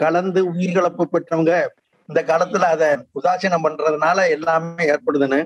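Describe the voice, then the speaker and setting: The delivery keeps a very even loudness and a monotone, flat intonation. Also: man, high pitch for a man. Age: 80s+. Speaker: caller. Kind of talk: call-in question.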